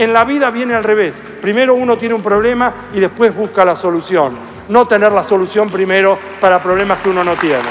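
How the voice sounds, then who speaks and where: Over crowd noise in the background, a man with a high voice talks at a fairly quick pace, his pitch varying in an ordinary way. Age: 60s. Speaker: mathematician. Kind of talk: interview.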